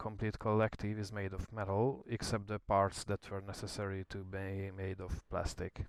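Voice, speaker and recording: A man speaks at a moderate pace with a fairly low pitch and a non-native accent, recorded very cleanly against a silent background. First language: not English. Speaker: DIY hobbyist YouTuber. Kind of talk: tutorial.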